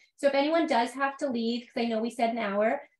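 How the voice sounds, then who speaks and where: A woman's high-pitched voice in a Canadian accent, fairly quick and with fairly even intonation, plus audible room echo. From Canada. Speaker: meetup host. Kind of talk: casual chat. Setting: video call. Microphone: webcam.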